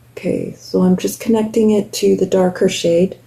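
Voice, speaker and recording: A woman speaks in a somewhat breathy voice. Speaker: beauty vlogger. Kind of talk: makeup tutorial. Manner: casual, chatty.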